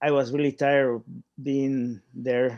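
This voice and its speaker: A man with a Spanish accent talks at a very slow pace in a medium pitch and a monotone, flat intonation, with music in the background. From Paraguay. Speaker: artist. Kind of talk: interview. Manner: halting.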